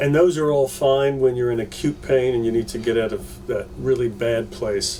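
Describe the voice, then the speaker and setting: A medium-pitched male voice with fairly even intonation and hardly any pauses, music in the background. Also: moderate pace. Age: 60s. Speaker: pain management doctor. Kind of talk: interview. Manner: halting, with fillers and repeats.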